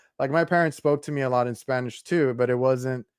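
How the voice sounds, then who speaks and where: A man with a Texan accent talks at a moderate pace in a medium pitch, his intonation fairly even. The recording is very clean, with a silent background. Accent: Texan American English. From South Texas. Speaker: podcast host. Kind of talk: casual interview chat.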